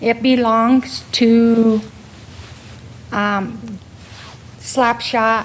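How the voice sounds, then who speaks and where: With noticeable background noise behind her, a woman speaks in a fairly high pitch with monotone, flat intonation. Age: 60s. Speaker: local business owner. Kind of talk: public comment at council meeting. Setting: city council chamber.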